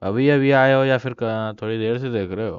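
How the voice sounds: Speaking at a very fast pace, a man has a clear, smooth tone.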